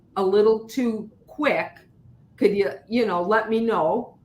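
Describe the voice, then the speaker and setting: There is noticeable background noise as a woman talks in a fairly high voice with ordinary pitch variation. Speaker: leadership guest speaker. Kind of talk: casual interview chat. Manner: gets loud when excited.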